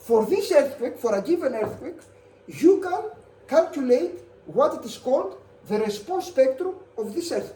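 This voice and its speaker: A woman with a high voice talks at a moderate pace, with very wide pitch swings and big swings in loudness, over noticeable background noise and audible room echo. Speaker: university lecturer. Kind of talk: lecture. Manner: halting.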